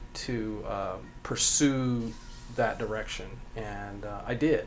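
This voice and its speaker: A man talks very slowly, with audible room echo and noticeable background noise in the recording. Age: 60s. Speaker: cabinet maker and furniture designer. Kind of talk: interview. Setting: in his workshop. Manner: terse, short answers.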